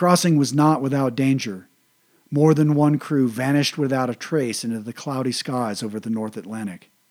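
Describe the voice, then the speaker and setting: An unremarkable speaking voice from a man, medium in pitch with ordinary pitch variation and a moderate pace, on a very clean recording with a silent background. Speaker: military history podcaster. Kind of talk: history documentary narration. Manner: measured, steady, formal; even and informative, little emotion.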